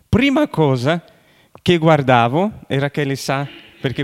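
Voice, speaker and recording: A man's fairly high voice with a Brazilian accent and lively intonation. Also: dry, close sound with no echo. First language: Portuguese (speaking Italian). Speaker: pastor. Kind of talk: sermon. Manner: halting.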